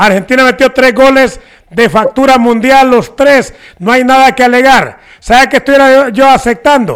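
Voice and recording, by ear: With few pauses, a man speaks at an extremely high pitch with ordinary pitch variation and a clear, smooth, fairly bright tone. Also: moderate pace.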